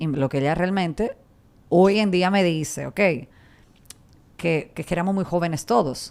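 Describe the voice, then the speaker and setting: A woman's fairly low voice at a fairly slow pace, with long, frequent pauses and ordinary pitch variation. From Serbia, Belgrade. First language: Serbian (speaking Spanish). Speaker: radio and TV presenter. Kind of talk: interview conversation.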